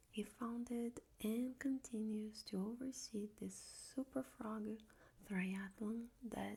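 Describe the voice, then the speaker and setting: The voice is soft-spoken with a calm tone, moving at a very slow pace. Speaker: ASMR reader. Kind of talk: soft-spoken audiobook reading for ASMR. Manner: soft-spoken, calm.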